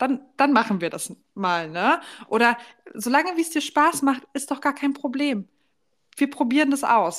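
A woman talks at a fairly slow pace. Her high voice has lively intonation. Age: 20s. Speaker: podcast co-host. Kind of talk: casual chat.

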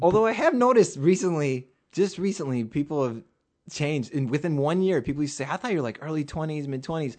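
Over a quiet background, a man with a fairly high voice speaks very fast with lively intonation. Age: 30s. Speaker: filmmaker and musician. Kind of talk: casual chat.

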